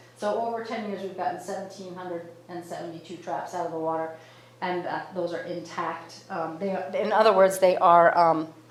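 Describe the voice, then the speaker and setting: Amid audible room echo, a woman with a fairly low voice talks at a fairly quick pace, her intonation fairly even but her loudness swinging widely. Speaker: marine debris program director. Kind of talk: presentation. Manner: fast.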